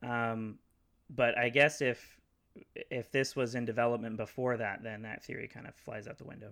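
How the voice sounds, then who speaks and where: At a moderate pace, a man talks in an unremarkable speaking voice at a medium pitch. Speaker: podcast guest. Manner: excitable.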